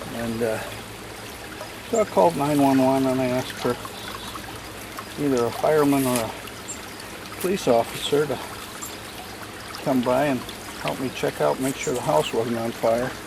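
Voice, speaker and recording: Over noticeable background noise, a man talks at a moderate pace and medium pitch with ordinary pitch variation and long, frequent pauses. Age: 70s. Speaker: DIY garden builder. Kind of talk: casual vlog narration. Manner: halting.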